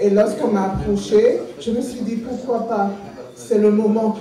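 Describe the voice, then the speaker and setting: The speech moves at a fairly slow pace with fairly even intonation. Audible room echo and light background noise come through. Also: woman. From Saint-Martin. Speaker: activist and candidate. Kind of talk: campaign speech. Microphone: podium.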